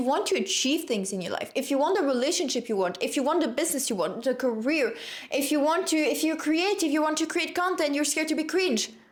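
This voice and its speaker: With very wide pitch swings and an animated tone, a woman speaks amid audible room echo. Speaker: self-help content creator. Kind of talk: motivational monologue.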